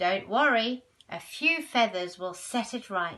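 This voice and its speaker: A woman speaks in a put-on character voice with a fairly high pitch. Her intonation is lively and her pace fairly slow. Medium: read story. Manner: fluttery.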